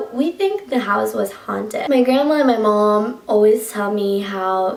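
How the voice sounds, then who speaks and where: A woman's fairly high voice with a Colombian accent, ordinary pitch variation, a moderate pace and noticeable background noise. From Colombia, Bogota. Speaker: YouTuber. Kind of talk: story time vlog. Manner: casual, filler-heavy.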